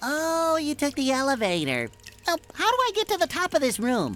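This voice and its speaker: A put-on character voice, high in pitch and at a moderate pace, over light background noise. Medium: video game. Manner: excitable, high-energy.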